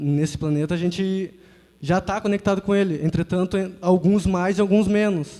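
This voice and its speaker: A man with a high pitch talks in a dark, mellow tone. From Porto Alegre, Brazil. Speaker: youth audience member. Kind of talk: audience comment.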